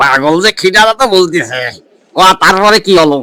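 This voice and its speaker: A man's cartoonish character voice, high-pitched and raised to project, with lively intonation at a moderate pace in a dry, close sound without echo. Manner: skeptical, needling.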